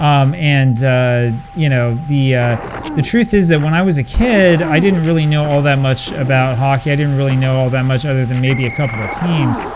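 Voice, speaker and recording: A fairly high-pitched man with an American accent at a moderate pace and hardly any pauses, very even loudness, audible room echo and noticeable background noise. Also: ordinary pitch variation. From United States. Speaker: retro gaming video creator. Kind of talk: gameplay commentary with casual talk. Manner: hesitant, many fillers.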